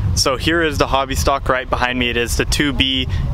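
Recorded dry with no echo but noticeable background noise, a man speaks with ordinary pitch variation. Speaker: amateur racer vlogger. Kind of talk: casual vlog chat. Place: open country. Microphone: phone near.

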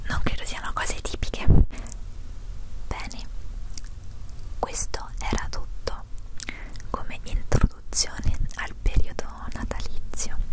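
Soft-spoken whispering comes at a very slow pace with long, frequent pauses. The sound is dry with no echo, over loud background noise. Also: woman. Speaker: vlogger. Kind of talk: casual vlog chat. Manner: soft close-mic whisper. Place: home room. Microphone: handheld.

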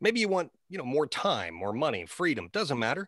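Against a quiet background, a man speaks at a fairly quick pace. His voice has vocal fry. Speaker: marketing presenter, media guy. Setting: online class presentation. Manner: polished sales pitch delivery.

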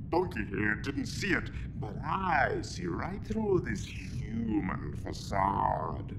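Over loud background noise, a man uses a put-on character voice at a very slow pace. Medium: short film.

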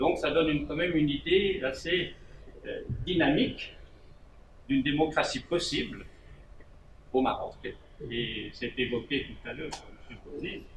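Fairly quick speech broken by long, frequent pauses, with ordinary pitch variation over noticeable background noise. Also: man. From Switzerland. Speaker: panelist. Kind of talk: panel discussion remarks. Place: home room.

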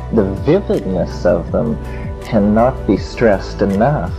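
Music plays in the background. Over it, a man speaks at a very slow pace. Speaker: speaker. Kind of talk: lecture.

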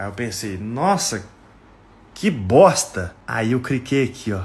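A man, animated and somewhat breathy, with medium pitch and lively intonation. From Brazil, Minas Gerais. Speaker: comedy content creator. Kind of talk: casual comedic monologue. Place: home room. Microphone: phone near.

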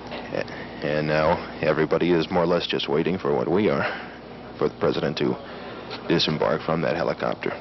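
Against noticeable background noise, a man talks at a fairly quick pace in a very deep, low voice. His intonation stays fairly even, with long, frequent pauses. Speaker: TV news reporter. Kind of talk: live outdoor TV news reporting, 1977, on-the-spot play-by-play of the helicopter landing. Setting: outdoors at an airport in freezing wind. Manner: conversational, ad-libbed, with frequent 'uh' fillers and restarts; clear, measured newscaster delivery, matter-of-fact, briefly wry about the cold.

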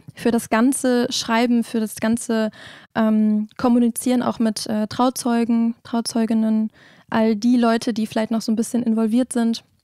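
A woman speaks at a moderate pace in a fairly high pitch, her tone dark and mellow but her intonation flat and monotone. The sound is dry with no echo, and the background is quiet. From Osnabrück, northwestern Germany; Germany. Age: 20s. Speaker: wedding officiant; guest. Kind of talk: interview. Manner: hesitant, many fillers. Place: studio. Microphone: handheld.

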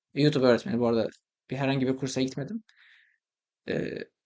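A man is speaking. The background is quiet. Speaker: language-learning YouTuber. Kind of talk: tutorial.

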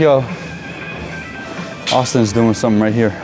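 A man talks over clear music in the background. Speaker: vlogger. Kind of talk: casual vlog chat. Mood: relaxed, chill. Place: gym. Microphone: lapel.

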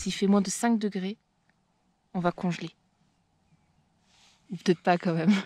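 A woman's somewhat breathy voice at a medium pitch, with fairly even intonation and a dry sound with no echo. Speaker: travel and nature vlogger; outdoor photography vlogger. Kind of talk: vlog narration outdoors. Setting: outdoors in the mountains. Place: tent. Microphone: phone near.

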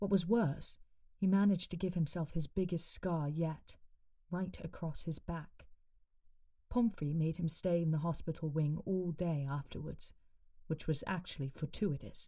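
With a British accent, a woman speaks at a moderate pace in a fairly low pitch with ordinary pitch variation. Her tone is dark, mellow and somewhat breathy, and the background is quiet. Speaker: voice-over artist and actor. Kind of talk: audiobook narration of a fan story. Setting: home studio. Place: studio.

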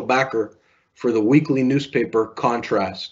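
A male speaker against a quiet backdrop. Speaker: interview moderator, police service director. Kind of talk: interview. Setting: video call. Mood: warm, respectful. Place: home room. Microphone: webcam.

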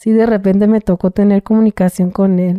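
A dark, mellow voice moves at a moderate pace, with a dry sound with no echo and a quiet background. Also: woman. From Mexico, Tijuana; Mexico. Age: 30s. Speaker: former prisoner telling her story. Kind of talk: interview testimony. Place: studio. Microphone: studio mic.

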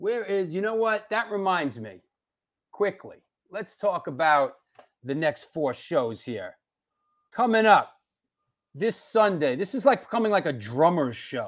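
Over a quiet background, a man speaks at a fairly slow pace. His pitch makes very wide swings. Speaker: show host. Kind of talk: livestream show host chat. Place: home room. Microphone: earbuds.

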